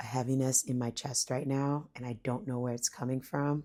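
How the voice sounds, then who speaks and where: A woman speaks quietly at a very deep, low pitch. Her intonation stays fairly even. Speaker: spiritual vlogger. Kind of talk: personal reflection talk. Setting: at home, son sleeping. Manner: varying volume, keeping quiet; hesitant, casual.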